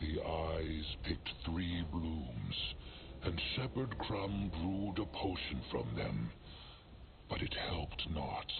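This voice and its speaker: Over loud background noise, a man in a put-on character voice speaks very slowly with a very deep, low pitch. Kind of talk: video game voice acting. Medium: game stream. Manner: archaic troll speech, third person.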